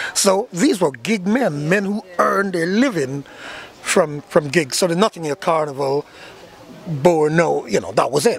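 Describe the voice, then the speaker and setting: A man speaks fairly slowly in a high voice with lively intonation. Noticeable background noise is present. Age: 60s. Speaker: steel band leader. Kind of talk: interview. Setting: live carnival event venue. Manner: halting, many repetitions.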